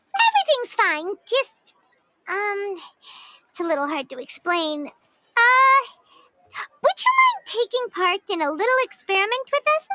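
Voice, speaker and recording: In a put-on character voice with an extremely high pitch, the speaker moves at a moderate pace, leaving long, frequent pauses. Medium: video game.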